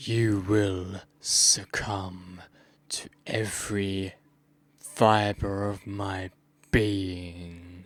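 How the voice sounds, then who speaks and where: Putting on a raspy character voice, a man talks very slowly in a fairly low, flat monotone. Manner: creepy, menacing.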